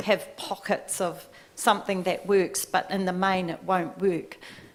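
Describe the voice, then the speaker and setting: There is noticeable background noise as a woman of medium pitch speaks at a very slow pace. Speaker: midwife. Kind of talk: tribunal testimony.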